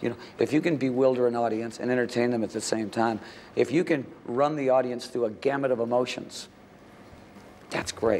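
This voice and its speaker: With an American accent, a man talks at a fairly quick pace, his medium pitch held to fairly even intonation. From United States. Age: 60s. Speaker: rock singer. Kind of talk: interview answer.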